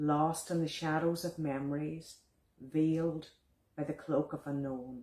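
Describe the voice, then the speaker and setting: In a Donegal accent, a woman with a very deep, low pitch and a dark, mellow tone speaks fairly slowly in a flat monotone. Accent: Donegal Irish. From Ireland, County Donegal. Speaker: visual artist and poet. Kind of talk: poetry reading.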